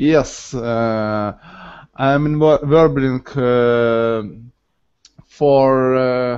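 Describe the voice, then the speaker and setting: A very slow delivery with fairly even intonation, in a Ukrainian accent. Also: man. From Ukraine. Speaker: language student. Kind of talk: online language lesson. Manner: halting, many hesitations.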